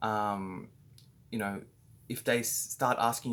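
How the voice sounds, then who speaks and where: On a very clean recording with a silent background, a man talks at a very slow pace with an Australian accent. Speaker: business owner training staff. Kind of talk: training talk. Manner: halting, many fillers.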